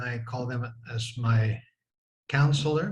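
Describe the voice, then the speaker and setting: A somewhat breathy man speaks with ordinary pitch variation amid audible room echo. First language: French. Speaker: former church bishop. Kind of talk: interview reminiscence.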